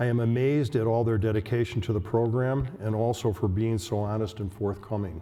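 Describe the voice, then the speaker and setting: The tone is dark and mellow, somewhat breathy, with fairly even intonation. Speech moves at a moderate pace. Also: man. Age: 70s. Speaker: patient with Alzheimer's in a buddy program. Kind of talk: prepared speech at a symposium. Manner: halting, repeating words.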